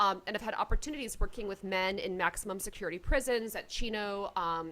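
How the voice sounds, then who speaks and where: Speaking with an American accent, a woman has a bright, sharp tone. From Georgia, US South. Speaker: clinical psychologist and musician. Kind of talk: interview.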